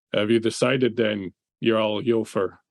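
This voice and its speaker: Putting on a rumbling character voice, a man speaks at a medium pitch and a moderate pace. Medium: actual play.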